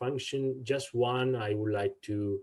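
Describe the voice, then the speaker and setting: Somewhat breathy, a man talks at a moderate pace. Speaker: instructor. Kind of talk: tutorial.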